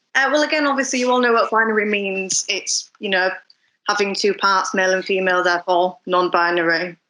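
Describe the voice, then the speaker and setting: A woman of medium pitch talks at a fairly quick pace in a bright, sharp tone. Her loudness stays very even, her pitch varies in an ordinary way, and the background is quiet. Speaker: fashion designer and lecturer. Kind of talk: panel discussion.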